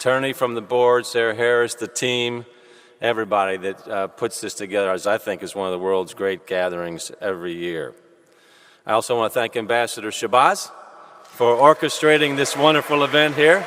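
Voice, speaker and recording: A man with an American accent talks at a fairly quick pace in a normal speaking voice. His pitch is medium for a man, with lively intonation. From US South, Louisville, Kentucky. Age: 50s. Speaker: civic leader giving welcome. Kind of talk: welcome speech. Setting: cathedral with audience. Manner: formal.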